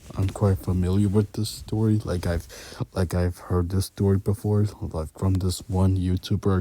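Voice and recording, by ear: Here someone reads aloud in a natural voice.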